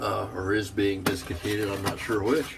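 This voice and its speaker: Audible room echo surrounds a voice speaking at a moderate pace. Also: man. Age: 60s. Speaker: wet shaving video creator. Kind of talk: casual tutorial.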